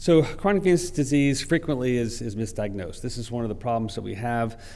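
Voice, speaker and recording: Audible room echo follows a man whose pitch varies in an ordinary way. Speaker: vascular specialist presenting at a conference. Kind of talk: conference lecture.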